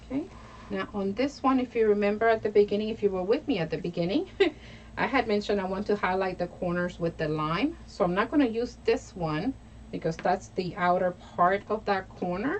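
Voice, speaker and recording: Here a woman with an American accent talks at a fairly quick pace. Her pitch is medium, with ordinary variation. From New York. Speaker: crafter and craft tutorial host. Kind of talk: live craft tutorial. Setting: live stream. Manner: casual and chatty.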